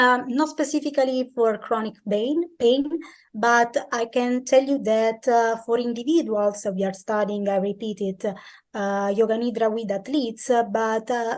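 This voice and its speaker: A woman speaks at a fairly slow pace with a fairly high voice. Her pitch varies in an ordinary way over a quiet background. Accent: Italian. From Italy. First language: Italian. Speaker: sports science researcher. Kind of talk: interview answers. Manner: halting, many fillers.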